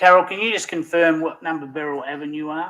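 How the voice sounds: Bright and sharp in tone, a man speaks at a fairly high pitch and a fairly quick pace with ordinary pitch variation.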